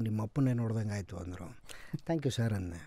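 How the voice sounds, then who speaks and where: A man speaks in a dark, mellow tone against a quiet background. The sound is dry, with no echo. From North Karnataka, India. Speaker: actor; podcast guest, actor. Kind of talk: interview. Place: studio. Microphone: studio mic.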